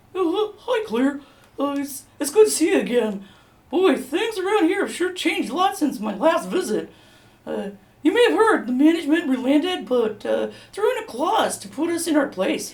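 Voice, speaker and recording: A put-on character voice sits high in pitch and swings very widely. It keeps a moderate pace. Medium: stage play. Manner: hesitant, stammering with many uhs.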